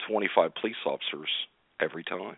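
A man speaks at a moderate pace. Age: 60s. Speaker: retired police officer. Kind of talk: casual chat.

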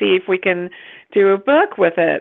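Here a woman with an American accent speaks in a normal speaking voice. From US, West Virginia. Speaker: author and publisher. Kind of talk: casual interview chat.

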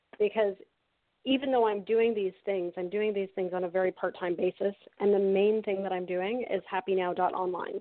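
A woman's unremarkable speaking voice, medium-pitched and fairly quick, with a Canadian accent and fairly even intonation. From Canada. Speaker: happiness coach and author. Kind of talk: interview.

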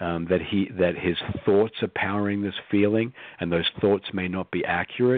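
A man's fairly low voice, moderate in pace, with ordinary pitch variation. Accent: Australian. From Australia. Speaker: psychologist. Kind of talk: interview.

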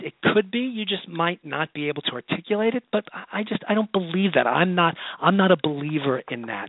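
Here a man with an American accent talks at a fairly quick pace. His voice is high, with very wide pitch swings. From Ohio. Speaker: podcast host and talent agency story editor. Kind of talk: call-in advice show. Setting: office.

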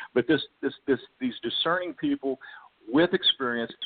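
A man talks in a plain, everyday voice at a moderate pace. His intonation is lively. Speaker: network marketing sales executive. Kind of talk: casual interview, product pitch.

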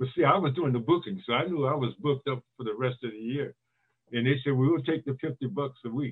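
A man's plain, everyday voice at medium pitch, with an American accent, ordinary pitch variation and a fairly quick pace. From Northern California (East Palo Alto). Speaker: retired basketball player and author. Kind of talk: casual interview.

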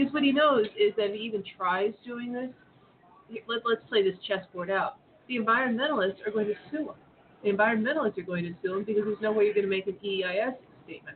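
A very fast pace over noticeable background noise. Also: woman, fairly high pitch for a woman, ordinary pitch variation. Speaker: former government lawyer. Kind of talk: panel discussion.

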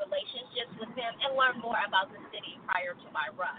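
A woman with an American accent against noticeable background noise. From Texas. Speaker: city mayor. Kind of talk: radio interview. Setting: studio.

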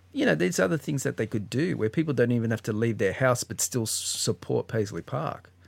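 A man with an Australian accent, medium-pitched with vocal fry, at a fairly quick pace, in a very clean, dry, close recording with no echo and a silent background. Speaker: podcast co-host, guest. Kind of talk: casual chat.

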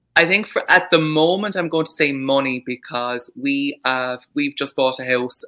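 A bright, sharp tone with ordinary pitch variation. The pace is moderate. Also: man, hardly any pauses. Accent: Irish. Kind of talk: casual chat. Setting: video call.

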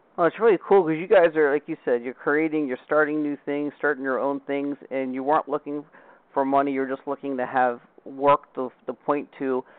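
A man with a normal speaking voice talks at a fairly quick pace, his fairly high pitch held in fairly even intonation. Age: 40s. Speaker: podcast host. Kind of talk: casual interview chat.

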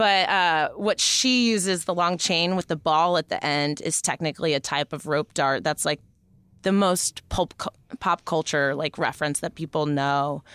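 At a moderate pace, a woman speaks with a fairly low pitch and ordinary pitch variation, in a very clean recording with a silent background and a dry, close sound with no echo. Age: 30s. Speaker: stripper and hula hoop performer. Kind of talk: casual chat.

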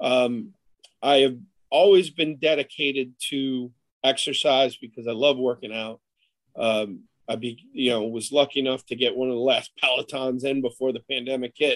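A man talks in an ordinary speaking voice at medium pitch. His pace is moderate and his intonation fairly even. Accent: American. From Buffalo, New York area. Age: 40s. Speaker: college football coach. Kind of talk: interview.

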